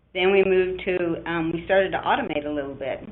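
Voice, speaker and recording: A woman speaks at a fairly quick pace with a medium pitch and ordinary pitch variation. Audible room echo surrounds her voice. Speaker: application scientist manager. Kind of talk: webinar presentation. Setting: online webinar.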